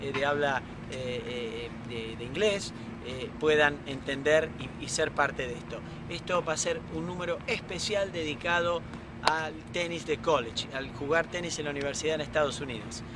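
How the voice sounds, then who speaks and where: A man speaks at a moderate pace with ordinary pitch variation, the sound dry with no echo and noticeable background noise. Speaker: tennis coach interviewer. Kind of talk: interview intro. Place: stadium.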